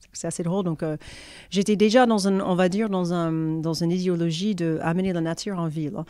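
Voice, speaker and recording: Her tone dark and mellow, a woman with a slight American accent talks at a fairly quick pace with a fairly low pitch. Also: fairly even intonation. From United States. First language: English (speaking French). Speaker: cosmetics brand founder. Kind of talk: interview. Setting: in a shop.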